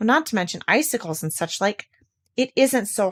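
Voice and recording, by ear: Over a quiet background comes reading aloud in a natural voice, with lively intonation.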